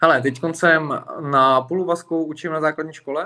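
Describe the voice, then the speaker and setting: The pace of this man's speech is moderate. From Plzeň, Czech Republic. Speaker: MMA fighter. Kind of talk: casual interview.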